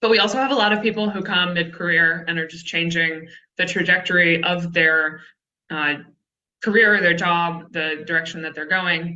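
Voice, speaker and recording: Speaking at a moderate pace with a Texan accent, a woman keeps her intonation fairly even and her pitch fairly low. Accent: Texan American. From Texas. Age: 30s. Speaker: conservation communications writer. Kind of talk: presentation.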